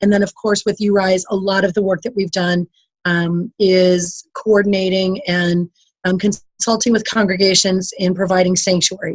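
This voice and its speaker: This woman's voice sits at a medium pitch and is somewhat breathy. She keeps a moderate pace with monotone, flat intonation, and the sound is dry and close with no echo. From US Midwest, Hudson, Wisconsin. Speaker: immigration lawyer, nonprofit head. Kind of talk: panel presentation on a call. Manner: hesitant, many ums.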